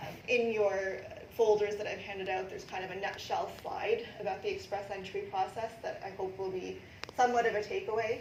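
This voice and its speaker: A woman speaks at a fairly quick pace with a Canadian accent. The recording has noticeable background noise and audible room echo. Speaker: immigration lawyer. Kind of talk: presentation to a live audience. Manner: fast; many filler ums.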